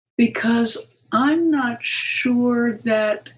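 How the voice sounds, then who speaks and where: Fairly high pitch and ordinary pitch variation in a woman's speech. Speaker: Gestalt therapist and psychoanalyst. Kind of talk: interview. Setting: conference.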